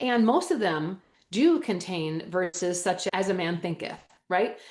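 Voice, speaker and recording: In an animated tone, a woman talks at a fairly slow pace. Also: medium pitch for a woman, ordinary pitch variation. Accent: Wisconsin. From Wisconsin. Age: 50s. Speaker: holistic health educator. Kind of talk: interview.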